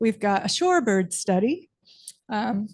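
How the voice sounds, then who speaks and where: A soft-spoken, somewhat breathy woman talks at a fairly high pitch. Her pace is moderate, with a quiet background. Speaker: marine science professor. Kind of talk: presentation to city council.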